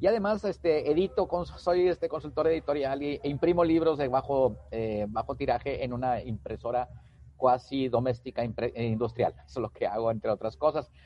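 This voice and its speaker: Moving at a moderate pace, a man talks at medium pitch with lively intonation. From Mexico, Tamaulipas. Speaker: LinkedIn consultant and author. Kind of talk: interview. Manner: hesitant, repeats words.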